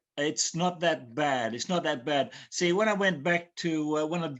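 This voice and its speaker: A man with an Australian accent speaks at a moderate pace, his fairly high pitch showing ordinary variation. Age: 70s. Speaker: caller. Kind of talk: call-in consultation. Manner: halting.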